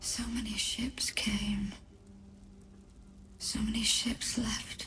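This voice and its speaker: In a put-on character voice, the speaker whispers at a very slow pace. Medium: machinima. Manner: insistent, repetitive.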